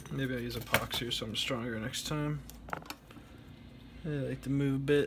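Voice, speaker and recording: A man's medium-pitched voice at a fairly quick pace, fairly even in intonation, over noticeable background noise. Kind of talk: DIY electronics tutorial narration. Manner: casual, relaxed.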